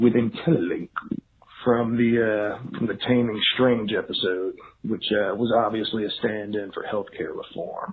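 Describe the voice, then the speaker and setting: This man has a Georgia accent and a medium pitch. He keeps a moderate pace. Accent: Georgia (US South). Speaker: voicemail caller. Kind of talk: recorded voicemail question.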